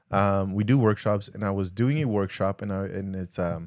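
A man with a Spanish accent talks at a moderate pace in a fairly low pitch. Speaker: podcast co-host. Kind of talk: casual chat. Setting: live stream.

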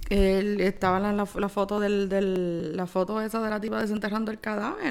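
At a moderate pace, a woman speaks at medium pitch in an ordinary speaking voice. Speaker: podcast co-host. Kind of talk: casual chat.

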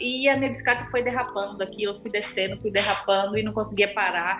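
Over music in the background and audible room echo, a woman talks at a very fast pace with fairly even intonation. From Brazil. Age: 30s. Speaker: amateur triathlete. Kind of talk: casual interview.

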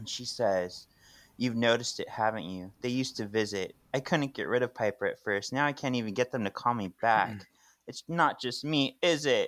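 On a very clean recording with a silent background, a normal speaking voice moves at a moderate pace with ordinary pitch variation. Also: man. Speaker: podcast co-host. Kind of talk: casual chat.

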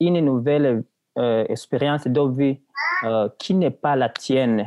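Here a man talks at a very slow pace. His voice is fairly high, with ordinary pitch variation. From Burundi. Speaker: university student. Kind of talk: casual chat.

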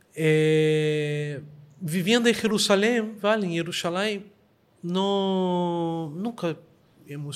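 Pitch moves in an ordinary amount of variation. The speaker is a man. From Brazil, Rio de Janeiro. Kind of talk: interview debate. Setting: synagogue.

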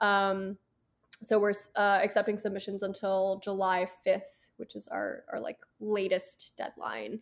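An ordinary speaking voice: a woman with an American accent, medium pitch and fairly even intonation, on a very clean recording with a silent background. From US, Philadelphia suburbs. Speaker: film festival director. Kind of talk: casual interview chat.

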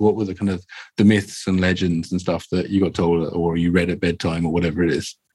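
A man talking at a very fast pace, on a very clean recording with a silent background. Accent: London. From Croydon, south London. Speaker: dungeon master and show creator. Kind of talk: casual interview chat. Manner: hesitant, filler-heavy.

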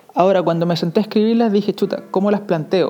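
Noticeable noise sits in the background. Over it, a man speaks with ordinary pitch variation. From Chile. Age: 30s. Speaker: podcast host, motivational speaker. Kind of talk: motivational monologue. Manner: halting, many fillers.

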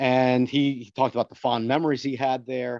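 With an American accent and a normal speaking voice, a man talks at a moderate pace. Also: dry, close sound with no echo. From Paterson, New Jersey. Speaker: stadium preservation advocate. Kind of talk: casual interview chat.

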